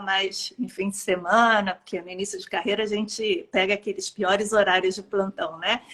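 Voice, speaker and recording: In a Rio de Janeiro accent, a woman talks at a fairly slow pace with a fairly high pitch and a bright, sharp tone. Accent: carioca. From Brazil, Rio de Janeiro. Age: 50s. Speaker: pediatrician. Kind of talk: interview.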